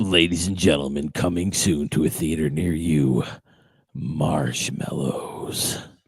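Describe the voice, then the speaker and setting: A man puts on a character voice. It is very deep and low in pitch, at a fairly slow pace. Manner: dramatic, ominous.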